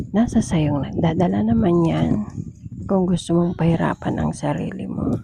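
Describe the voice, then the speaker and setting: A woman's fairly low voice comes at a fairly slow pace against noticeable background noise. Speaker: overseas domestic worker vlogger. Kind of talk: casual vlog. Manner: loud.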